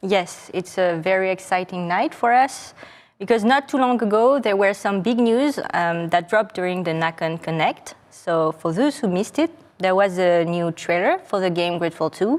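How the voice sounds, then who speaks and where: Speaking at a moderate pace, a woman uses a medium pitch. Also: lively intonation. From France. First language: French. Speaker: game studio presenter. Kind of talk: live stream presentation. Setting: studio set.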